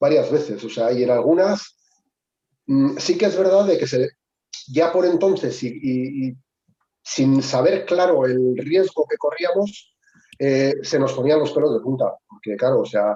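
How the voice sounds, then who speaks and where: Dark and mellow in tone yet fairly high in pitch, a man speaks at a fairly slow pace with lively intonation. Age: 60s. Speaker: veteran ski mountaineer. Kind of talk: webinar discussion. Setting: video call. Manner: halting.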